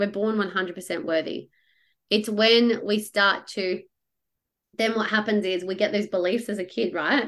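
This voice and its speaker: At a moderate pace, a woman with an Australian accent speaks at a medium pitch with ordinary pitch variation. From Australia, Perth. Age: 30s. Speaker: money coach. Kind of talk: interview.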